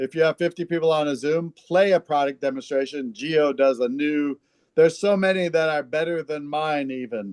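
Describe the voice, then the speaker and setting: An unremarkable speaking voice from a man, fairly high in pitch with ordinary pitch variation and a moderate pace, in a dry, close sound with no echo. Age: 60s. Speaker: network marketing leader. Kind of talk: interview.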